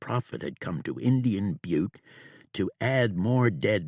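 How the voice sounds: Words in a natural reading voice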